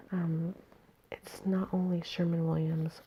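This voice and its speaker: Soft-spoken and fairly low-pitched, a woman speaks at a fairly slow pace in a monotone, flat intonation. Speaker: ASMR creator. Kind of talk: ASMR magazine reading. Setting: at home.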